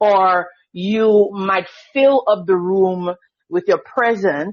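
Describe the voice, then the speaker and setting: Speaking very slowly with a Grenadian accent, a woman keeps a medium pitch and very even loudness. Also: ordinary pitch variation. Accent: Grenadian Caribbean English. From Grenada. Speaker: school district evaluation coordinator. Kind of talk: podcast interview.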